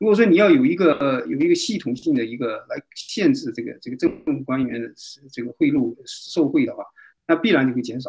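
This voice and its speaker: His pitch swinging very widely, a man speaks at a fairly quick pace. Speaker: doctor. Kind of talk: casual chat. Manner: halting.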